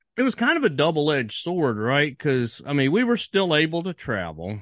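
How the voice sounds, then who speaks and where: A man talks with very wide pitch swings at a moderate pace. His pitch is fairly high. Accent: American. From Virginia. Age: 40s. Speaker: author. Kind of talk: casual chat.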